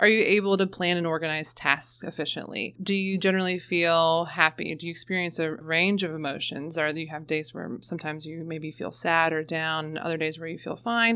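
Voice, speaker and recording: In an American accent, a woman speaks at a fairly quick pace with a fairly low pitch and a bright, sharp tone. Her intonation is fairly even, and the recording is very clean with a silent background. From northern Kentucky, US. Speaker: school mental health counselor. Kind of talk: interview conversation.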